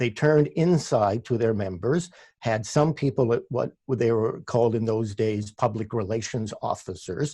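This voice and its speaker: A man with a Canadian accent speaks at medium pitch and a moderate pace, with a dark, mellow tone that is somewhat breathy. He barely pauses, his pitch varies in an ordinary way, and the background is quiet. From Canada, Ontario (Oakville near Toronto). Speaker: labour radio host and producer. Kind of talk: interview. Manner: halting, many restarts.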